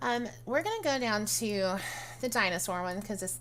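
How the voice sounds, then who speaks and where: A woman with a medium pitch speaks with very wide pitch swings. Audible room echo surrounds her voice. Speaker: video game tutorial creator. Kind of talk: tutorial. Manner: casual, hesitant with many fillers.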